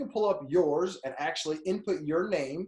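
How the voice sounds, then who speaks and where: A man speaks with lively intonation. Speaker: personal brand coach. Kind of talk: tutorial. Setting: screen share recording. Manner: fast; animated.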